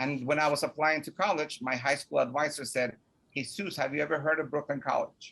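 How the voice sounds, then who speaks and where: A man talks at a fairly quick pace in a Spanish accent. His pitch is fairly high and his intonation fairly even. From Mexico (Puebla), raised in New York from age 9. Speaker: college student support office director. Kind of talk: personal story in interview.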